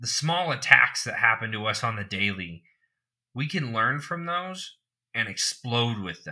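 A man's bright, sharp voice at a medium pitch, with very wide pitch swings and a fairly slow pace, in a very clean recording with a silent background. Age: 20s. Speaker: podcast co-host. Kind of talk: casual chat.

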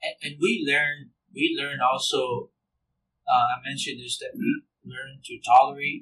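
A man with a Samoan accent speaks with big swings in loudness. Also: moderate pace. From American Samoa. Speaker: minister. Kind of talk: casual chat. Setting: church.

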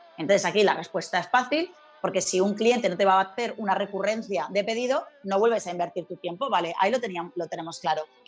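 A woman's medium-pitched voice at a very fast pace with hardly any pauses and ordinary pitch variation, over music in the background. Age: 40s. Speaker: sales trainer, speaker and author. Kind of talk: interview.

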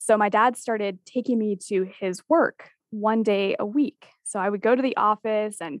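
In a normal speaking voice, a woman talks at a fairly high pitch and a fairly slow pace with ordinary pitch variation, the sound dry and close with no echo. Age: 20s. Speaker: Gen Z expert and author. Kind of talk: interview.

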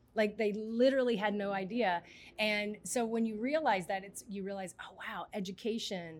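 A woman with an American accent and an unremarkable speaking voice talks at a moderate pace, her pitch medium and her pitch variation ordinary. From US South, Mississippi. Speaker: nonprofit urban farm director. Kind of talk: interview. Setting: vertical farm space.

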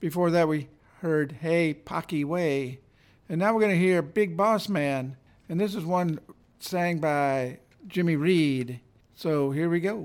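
In a warm, relaxed tone, a high-pitched man speaks at a fairly slow pace with ordinary pitch variation and long, frequent pauses, on a very clean recording with a silent background. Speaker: radio host. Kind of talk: radio DJ patter introducing blues tracks. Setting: radio station broadcast. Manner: warm, relaxed, easygoing; upbeat, promotional.

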